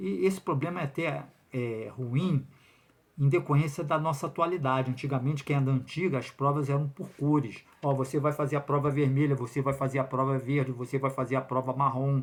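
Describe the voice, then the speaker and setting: In a very clean recording with a silent background, a somewhat breathy voice speaks with fairly even intonation. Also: man, fairly quick pace. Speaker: lawyer commenting on public exam lawsuit. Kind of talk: video commentary monologue. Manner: fast; hesitant fillers.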